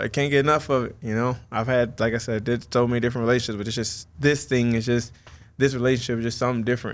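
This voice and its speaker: The recording is very clean, with a silent background. A man with a medium pitch and fairly even intonation talks at a very fast pace. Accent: American. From US Midwest, northern Illinois (small town near Rockford). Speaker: professional mixed martial artist. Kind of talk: interview.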